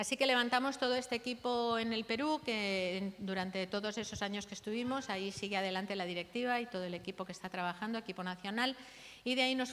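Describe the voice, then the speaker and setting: A woman with a Catalan accent, very fast pace and ordinary pitch variation. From Catalonia, Barcelona area. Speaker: missionary pastor. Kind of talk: testimony.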